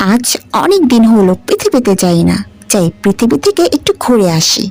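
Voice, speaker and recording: A woman performs a cartoonish character voice, fairly high in pitch with very wide pitch swings, at a moderate pace. The sound is dry and close with no echo, and music plays in the background. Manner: affectionate, calls others mother.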